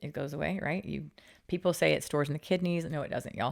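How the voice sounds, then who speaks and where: A woman speaks in an animated tone with vocal fry, her pitch very deep and low. She talks at a very fast pace on a very clean recording with a silent background. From Utah. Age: 40s. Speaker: fitness entrepreneur. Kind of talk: interview conversation.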